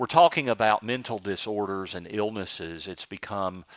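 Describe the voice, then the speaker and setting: Moderate pace and ordinary pitch variation in a man's fairly low voice, a plain, everyday voice. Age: 50s. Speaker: radio host and financial advisor. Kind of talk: radio interview. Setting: studio.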